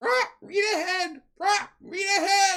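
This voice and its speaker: Delivered at a very slow pace, this put-on character voice sits at an extremely high pitch. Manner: repetitive squawking.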